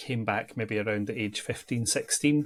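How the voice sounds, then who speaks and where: Fairly even intonation in a Central Belt Scottish accent. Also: man. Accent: Scottish, between Edinburgh and Glasgow. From Scotland, near Edinburgh. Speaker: church ministry adviser. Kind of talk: interview. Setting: podcast.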